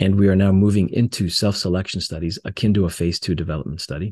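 With a General American accent, a man talks at a very fast pace in a very deep, low, somewhat breathy voice with fairly even intonation and a dry, close sound with no echo. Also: quiet background. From US West Coast, Los Angeles. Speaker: pharmaceutical executive. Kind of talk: interview.

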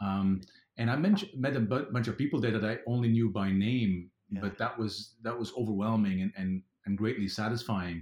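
Here a man has an unremarkable speaking voice with a fairly low pitch. He talks at a moderate pace with ordinary pitch variation. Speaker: FileMaker consultant and conference speaker. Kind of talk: casual interview chat.

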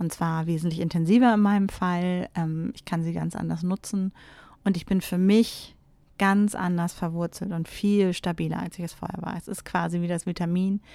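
There is a dark, mellow tone to this woman's fairly low voice, which keeps a moderate pace and monotone, flat intonation on a very clean recording with a silent background. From Germany, Teutoburg Forest area. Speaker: spiritual podcast host. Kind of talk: solo podcast monologue. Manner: hesitant with frequent fillers.

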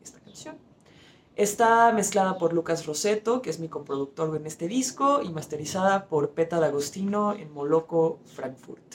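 A woman with a normal speaking voice talks at a fairly low pitch. Her intonation is lively. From Argentina and Mexico. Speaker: rock musician. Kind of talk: recorded song presentation.

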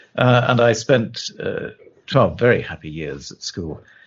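A man's voice with vocal fry, very wide pitch swings and a moderate pace. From southern England. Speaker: lawyer. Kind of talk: interview. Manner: halting.

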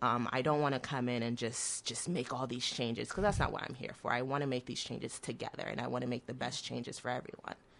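The speech moves at a very fast pace with hardly any pauses. Intonation stays fairly even. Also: woman, very deep, low pitch for a woman. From Oklahoma, US (born in Nigeria, moved at six). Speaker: city government staffer. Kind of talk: radio interview. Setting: radio studio.

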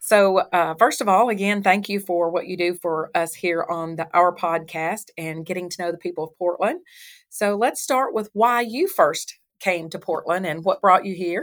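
In a Southern US accent, a woman of medium pitch talks at a moderate pace with ordinary pitch variation on a very clean recording with a silent background. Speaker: chamber of commerce interviewer. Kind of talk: casual interview.

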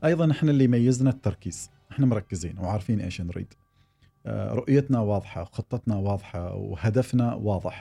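On a very clean recording with a silent background, a man with a fairly low pitch talks at a moderate pace, his somewhat breathy, dark, mellow voice carrying lively intonation. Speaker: tech company executive. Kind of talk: interview. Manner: hesitant with filler sounds.

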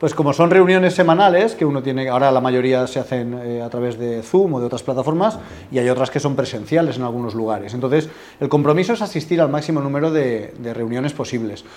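His pace is very fast. This man's pitch is medium. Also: ordinary pitch variation. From Spain, Alicante. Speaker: business networking representative. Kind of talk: interview.

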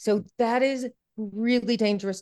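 Speaking at a fairly slow pace, a woman sounds animated. The background is quiet. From US Midwest, Iowa. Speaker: education speaker and author. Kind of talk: interview.

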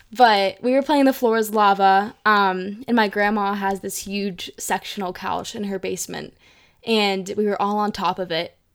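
A normal speaking voice from a woman at medium pitch, moderate pace and fairly even intonation, on a very clean recording with a silent background. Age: young. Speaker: college student. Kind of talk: personal storytelling interview.

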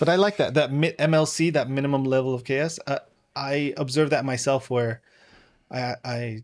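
Speaking at a fairly quick pace with ordinary pitch variation, this man has a fairly high pitch and an American accent, captured in a very clean recording with a silent background. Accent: American with slight British trace. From London, England, then California. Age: 40s. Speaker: guest author and course creator. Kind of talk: casual interview chat.

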